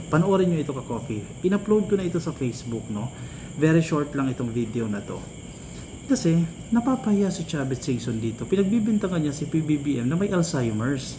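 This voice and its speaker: This man's voice sits fairly high and sounds somewhat breathy, with a dark, mellow tone. His pitch swings very widely and he moves at a fairly quick pace. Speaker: political commentary vlogger. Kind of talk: political commentary vlog.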